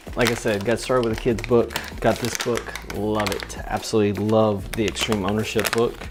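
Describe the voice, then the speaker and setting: Over noticeable background noise, a man with a fairly low voice talks at a fairly quick pace in a flat, monotone way. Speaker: church media worker and vlogger. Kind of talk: casual vlog. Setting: at home early morning.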